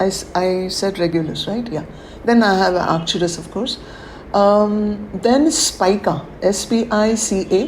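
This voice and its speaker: Noticeable background noise sits behind a woman speaking at a fairly slow pace. Her medium pitch shows ordinary variation. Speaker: spiritual teacher leading a webinar. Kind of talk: webinar talk. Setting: online webinar.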